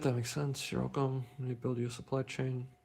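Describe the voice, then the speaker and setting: With a non-native accent, a man speaks at a medium pitch and a fairly quick pace. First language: not English. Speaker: inventor and tech streamer. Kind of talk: live stream Q&A. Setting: live stream. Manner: halting, many fillers and restarts.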